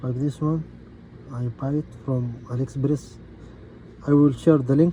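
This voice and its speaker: A man's medium-pitched, somewhat breathy voice in a Gulf Arabic accent, dark and mellow in tone, flat and monotone, at a fairly slow pace with long, frequent pauses. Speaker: DIY car repair youtuber. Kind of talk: tutorial. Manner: halting.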